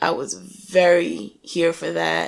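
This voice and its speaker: A voice with a New York accent. It talks at a very slow pace. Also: woman. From New York (Staten Island). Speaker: Navy veteran and musician. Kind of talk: casual interview.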